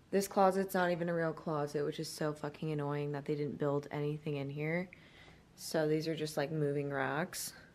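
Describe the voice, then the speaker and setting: The woman's pitch is very deep and low, her intonation fairly even, and her pace moderate. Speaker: lifestyle vlogger. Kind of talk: casual vlog chat. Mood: relaxed, later annoyed. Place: home room. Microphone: phone near.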